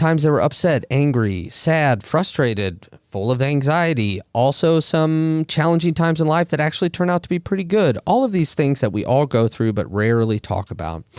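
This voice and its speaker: A man with a fairly high voice and lively intonation speaks at a moderate pace with hardly any pauses, in an ordinary speaking voice. The very clean recording has a silent background and a dry, close sound with no echo. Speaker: podcast host. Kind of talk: podcast intro monologue.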